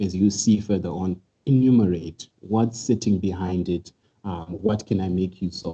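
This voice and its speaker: Very deep and low, a man's somewhat breathy voice has a dark, mellow tone and fairly even intonation. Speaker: cybersecurity presenter. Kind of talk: webinar tutorial. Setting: online webinar. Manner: fast.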